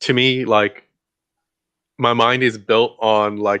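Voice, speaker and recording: Very slow and monotone, a man with a Mexican accent speaks in a bright, sharp tone with flat intonation. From Guatemala, raised in Texas. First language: Mayan. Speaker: interview guest. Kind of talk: casual interview chat. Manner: hesitant, many fillers.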